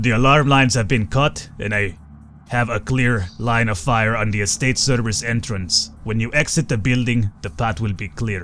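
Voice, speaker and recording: A man's put-on character voice at medium pitch and moderate pace, with clear music in the background. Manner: quiet, restrained.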